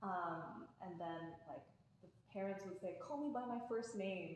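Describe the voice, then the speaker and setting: Against noticeable background noise and audible room echo, a woman with a Canadian accent speaks at a moderate pace. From Canada. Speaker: podcast guest. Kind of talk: casual chat.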